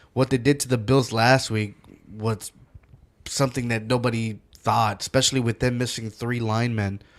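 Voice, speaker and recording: In a very clean recording with a silent background, a man talks at a moderate pace and a medium pitch with fairly even intonation. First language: not English. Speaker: podcast co-host. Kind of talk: casual sports chat. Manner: halting, many fillers and restarts.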